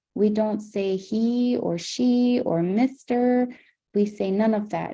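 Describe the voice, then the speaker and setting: A woman talks at a very slow pace with fairly even intonation. Her dark, mellow voice is somewhat breathy. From Nunavut, Canada (Clyde River, Baffin region). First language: Inuktitut. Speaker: Inuit cultural educator. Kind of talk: educational livestream talk with Q&A. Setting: video livestream.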